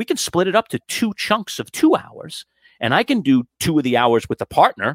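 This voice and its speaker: In a very clean recording with a silent background, a man with an American accent speaks with very wide pitch swings. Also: dry, close sound with no echo. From New York City (Queens). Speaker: sports radio host and broadcasting professor. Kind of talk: interview.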